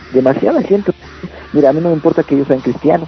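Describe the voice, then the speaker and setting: A man talks at a fairly high pitch. Behind him, music can be heard. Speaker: metal band vocalist. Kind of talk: radio interview.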